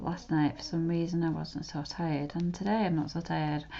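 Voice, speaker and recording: Soft-spoken and fairly low in pitch, a woman talks at a moderate pace with a dark, mellow tone. Room echo is audible. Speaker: art tutorial creator. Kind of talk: drawing tutorial commentary.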